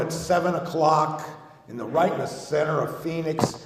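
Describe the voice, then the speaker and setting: Amid noticeable background noise and audible room echo, a man with an American accent talks fairly quickly in a fairly high, monotone, flat voice, his loudness swinging widely. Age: 60s. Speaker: recovery speaker, Vietnam veteran. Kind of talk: recovery testimony. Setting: convention stage with audience. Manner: casual, halting with fillers.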